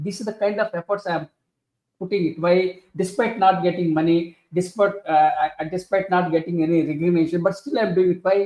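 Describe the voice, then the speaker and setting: Speaking with an Indian accent, a man uses a high pitch at a fairly quick pace. His intonation stays fairly even. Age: 60s. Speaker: author and leadership professor. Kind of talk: interview. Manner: halting, many fillers.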